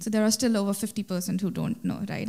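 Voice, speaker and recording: A woman speaks in a dark, mellow tone that is somewhat breathy. Her intonation stays fairly even over a quiet background. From India. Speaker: startup founder; speaker. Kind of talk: conference panel discussion. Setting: stage with live audience. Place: stage.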